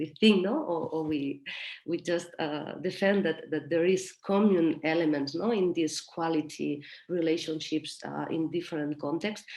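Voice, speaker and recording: Over noticeable background noise, a woman with a Spanish accent talks at a moderate pace in a fairly low pitch. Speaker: mentoring practitioner. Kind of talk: workshop discussion. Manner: halting.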